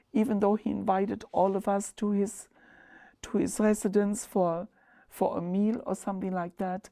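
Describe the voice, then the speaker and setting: A woman with a German accent, medium pitch and a dark, mellow tone, fairly even intonation at a moderate pace, on a very clean recording with a silent background. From Germany, Ludwigshafen on the Rhine. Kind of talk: oral history interview. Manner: halting.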